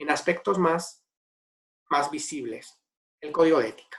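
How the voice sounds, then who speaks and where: A man talks with a slight Spanish accent. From Spain. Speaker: ethics and governance consultant. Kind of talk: webinar Q&A answer.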